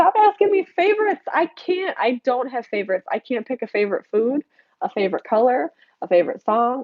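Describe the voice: With an American accent, a woman talks in a nasal voice at a fairly quick pace, her intonation lively and the sound dry and close with no echo.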